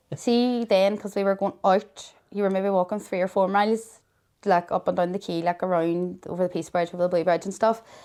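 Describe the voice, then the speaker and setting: In a very clean recording with a silent background, a woman with a Derry accent talks at a fairly quick pace in a medium pitch. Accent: Northern Irish (Derry). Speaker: mother of a child with a serious illness. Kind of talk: interview. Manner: loud; animated.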